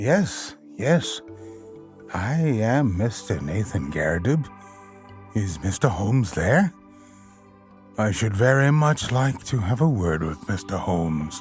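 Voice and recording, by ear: A man's put-on character voice, fairly low and shaky, with very wide pitch swings, a fairly slow pace, long and frequent pauses, and clear music in the background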